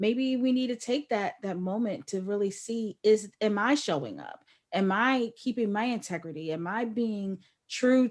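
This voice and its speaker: Speaking fairly slowly with lively intonation, a woman uses a plain, everyday voice. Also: very clean recording, silent background. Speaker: podcast interviewer. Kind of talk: interview host talk.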